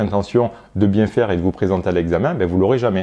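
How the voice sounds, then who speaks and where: Speaking at a very fast pace, a man uses a fairly low pitch with a dark, mellow tone. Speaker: sophrologist. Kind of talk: educational monologue to camera. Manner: hesitant, many fillers.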